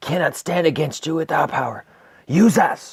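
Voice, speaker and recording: A raspy, put-on character voice from a man, fairly high in pitch, at a moderate pace. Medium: actual play. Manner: insistent.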